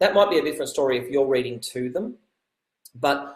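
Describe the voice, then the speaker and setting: A somewhat breathy male voice. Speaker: teacher giving reading tips to parents. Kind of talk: tutorial. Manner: halting, many fillers and repeats.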